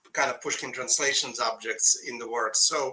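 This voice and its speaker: At a moderate pace, a man speaks with a Russian accent. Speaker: poet. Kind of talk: casual chat. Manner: halting.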